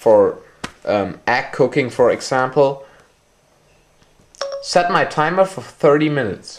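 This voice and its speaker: The speaker has a German accent and talks at a very slow pace. Long pauses come often. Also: man. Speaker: tech reviewer. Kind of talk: product demonstration. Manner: halting.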